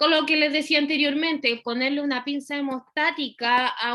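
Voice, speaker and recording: Raised and projected, a woman's high voice carries a bright, sharp tone. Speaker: veterinary surgery lecturer. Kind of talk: lecture. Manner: fast.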